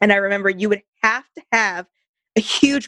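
An ordinary speaking voice with an American accent, a moderate pace, ordinary pitch variation, and a dry, close sound with no echo. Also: woman. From US West Coast, California. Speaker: business marketer, podcast co-host. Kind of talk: casual chat.

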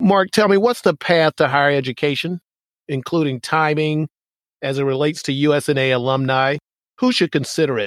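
A man with an ordinary speaking voice and a fairly high pitch talks at a moderate pace with ordinary pitch variation. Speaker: podcast host and naval academy alumnus. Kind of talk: casual interview.

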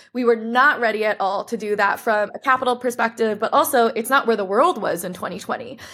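A woman talks with an American accent in an unremarkable speaking voice. Her pitch is fairly high, with ordinary pitch variation. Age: 20s. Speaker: brand co-founder. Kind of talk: interview.

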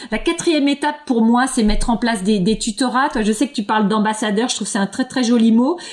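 Over noticeable background noise, a woman speaks at a fairly quick pace with very even loudness and ordinary pitch variation. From France, eastern Paris. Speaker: linguistics professor. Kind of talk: interview. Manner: halting, many repetitions and fillers.

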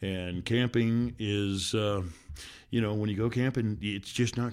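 Captured in a very clean recording with a silent background, a man with an American accent has a plain, everyday voice at medium pitch with ordinary pitch variation. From Washington State. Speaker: podcast co-host, father. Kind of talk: casual chat. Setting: outdoors by a campfire and creek.

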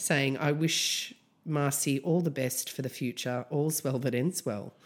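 The voice carries an Australian accent. The pace is fairly slow. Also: woman, very clean recording, silent background. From Australia, Canberra. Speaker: music podcast co-host. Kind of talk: casual chat.

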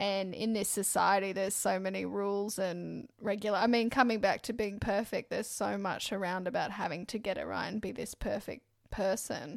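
A woman with an Australian accent and vocal fry speaks at a moderate pace with hardly any pauses, her medium pitch kept in fairly even intonation. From Brisbane, Australia. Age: 20s. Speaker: podcast co-host, mortgage broker. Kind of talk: casual chat.

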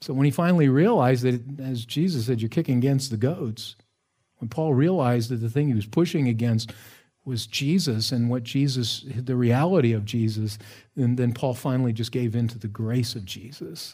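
A man's somewhat breathy voice with a dark, mellow tone, a moderate pace and ordinary pitch variation. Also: medium pitch for a man. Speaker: pastor. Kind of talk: sermon.

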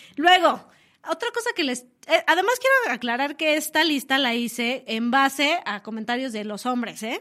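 Raised and projected, a woman's high-pitched voice carries an animated tone and lively intonation at a moderate pace. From Mexico City. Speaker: radio host. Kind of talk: casual radio talk show. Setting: radio studio.

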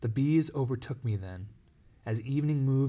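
The voice reads naturally, and its pitch moves in an ordinary way.

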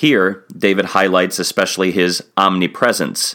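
A man with a very deep, low pitch, a bright, sharp tone and a fairly slow pace. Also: very clean recording, silent background. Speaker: pastor. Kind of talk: devotional bible reading and reflection. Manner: formal.

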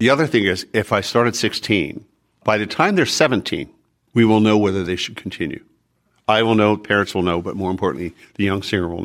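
A man speaks at a very fast pace with a fairly low pitch. The recording is very clean, with a silent background. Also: ordinary pitch variation. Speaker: opera singer and voice teacher. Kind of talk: interview.

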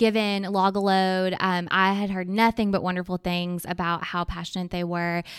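A woman with an Arkansas accent on a very clean recording with a silent background. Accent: Southern US (Arkansas). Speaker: children's charity fundraiser. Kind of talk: podcast interview.

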